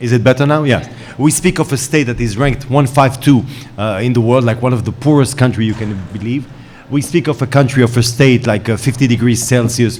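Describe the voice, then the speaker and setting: Against noticeable background noise, a man speaks fairly quickly at a medium pitch with fairly even intonation. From Israel. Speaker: panel moderator, journalist. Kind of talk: panel moderation. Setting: conference stage with audience. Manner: hesitant, many fillers.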